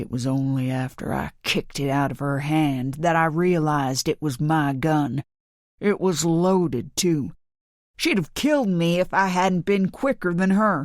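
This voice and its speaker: A gruff, put-on character voice at a middle pitch moves at a moderate pace in a very clean recording with a silent background. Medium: read story. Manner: gruff, aggressive.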